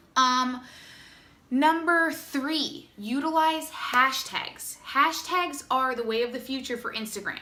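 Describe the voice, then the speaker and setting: A woman raises and projects her voice at a high pitch. Noticeable background noise and audible room echo fill the recording. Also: ordinary pitch variation. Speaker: direct sales distributor. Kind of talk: tutorial. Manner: fast; casual, chatty.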